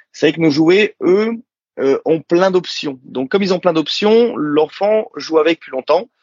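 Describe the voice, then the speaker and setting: The intonation is lively. This man keeps to a moderate pace. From Morocco. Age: 30s. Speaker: toy company founder. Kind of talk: interview. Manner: animated.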